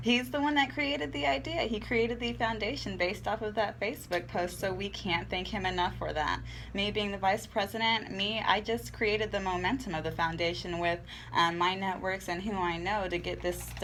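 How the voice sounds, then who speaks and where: With lively intonation and a fairly quick pace, a woman speaks in an American accent amid audible room echo and noticeable background noise. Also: medium pitch for a woman. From Central Texas (Copperas Cove). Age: 20s. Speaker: community organizer. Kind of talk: radio interview.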